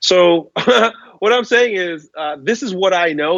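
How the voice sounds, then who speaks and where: A man speaks with lively intonation. His is a normal speaking voice. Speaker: strength coach, author and guest speaker on masculinity. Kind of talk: interview answer.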